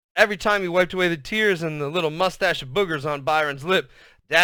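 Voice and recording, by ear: This is reading aloud in a natural voice. The pitch variation is ordinary.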